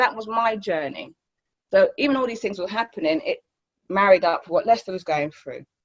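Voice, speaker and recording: This woman's voice sits at a fairly high pitch with lively intonation. Her loudness swings widely. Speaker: recovery centre co-founder. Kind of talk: testimony. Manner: fast.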